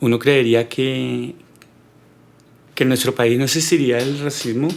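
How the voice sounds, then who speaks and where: A man at a medium pitch, fairly slow in pace, with fairly even intonation. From Colombia, Neiva, Huila. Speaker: podcast guest. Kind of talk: personal life story interview. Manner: hesitant, many fillers and repetitions.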